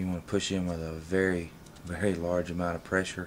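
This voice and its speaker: At a moderate pace, a man talks in a very deep, low pitch with monotone, flat intonation. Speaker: firearms hobbyist. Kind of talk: tutorial walkthrough.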